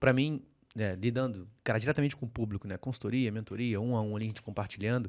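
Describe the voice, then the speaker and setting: Speaking in a Rio de Janeiro accent, a man talks at a very fast pace with a medium pitch and fairly even intonation on a very clean recording with a silent background. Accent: carioca, noticeable. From Rio de Janeiro, Brazil. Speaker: podcast host, financial educator. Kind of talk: podcast interview.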